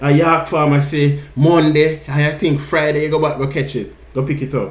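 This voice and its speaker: A man with a Jamaican accent talks fairly quickly in a fairly high, somewhat breathy voice. His intonation is monotone and flat. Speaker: podcast host. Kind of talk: casual podcast conversation.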